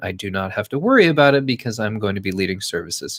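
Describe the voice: A man speaks fast with a fairly low pitch. His tone is fairly bright, and his pitch swings widely.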